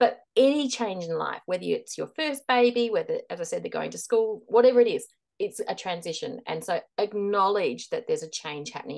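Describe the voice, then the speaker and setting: With an Australian accent, the speaker talks at a moderate pace over a quiet background. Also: woman. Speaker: transition and leadership coach. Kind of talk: interview, giving advice.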